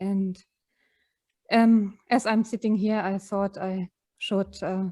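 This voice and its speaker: Soft-spoken, a woman talks at a very slow pace with a dark, mellow tone and monotone, flat intonation. The sound is dry and close with no echo, over a quiet background. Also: medium pitch for a woman. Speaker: retreat participant. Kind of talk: sharing personal experience. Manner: halting.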